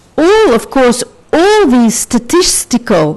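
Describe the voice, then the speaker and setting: With a Portuguese accent, a woman speaks at a very slow pace using very wide pitch swings. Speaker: sociologist, conference speaker. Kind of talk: academic conference talk. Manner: halting, with fillers.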